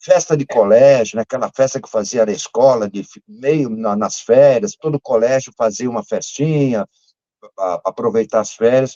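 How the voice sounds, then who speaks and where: At a moderate pace and medium pitch, a man uses an ordinary speaking voice with ordinary pitch variation and big swings in loudness. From Brazil, São Paulo. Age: 60s. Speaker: music fan club founder and curator. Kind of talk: casual interview chat.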